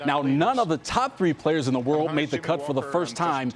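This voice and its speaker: A man's voice sits fairly high, its pitch moving in an ordinary way, with noticeable noise in the background. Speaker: sports anchor and reporter. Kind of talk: sports broadcast reporting. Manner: upbeat, energetic.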